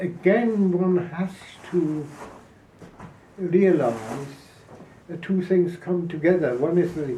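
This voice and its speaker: A man with a high voice speaks at a very slow pace with ordinary pitch variation and long, frequent pauses. Noticeable background noise and audible room echo surround him. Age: 90s. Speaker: Holocaust survivor and activist. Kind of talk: interview. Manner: halting.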